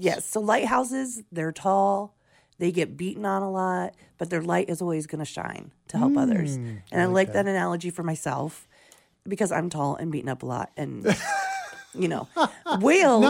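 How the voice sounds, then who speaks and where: A woman speaks at a moderate pace in a raspy voice. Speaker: radio morning show co-host. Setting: radio studio.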